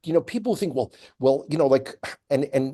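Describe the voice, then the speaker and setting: The man's voice sits fairly high and has a dark, mellow tone. His intonation is lively. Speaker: tour guide and commentator. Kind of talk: interview commentary.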